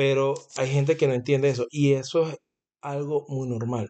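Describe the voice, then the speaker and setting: Fairly high in pitch, a man's voice has a dark, mellow tone. He keeps a moderate pace and fairly even intonation. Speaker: podcast co-host, salesman. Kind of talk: casual chat. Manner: talkative.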